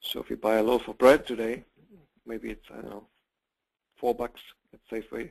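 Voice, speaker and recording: Speaking with a German accent, a man keeps a medium pitch and fairly even intonation. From Germany. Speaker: real estate investment company president. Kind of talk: webinar sales pitch. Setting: online webinar broadcast. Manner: halting, with repeated words.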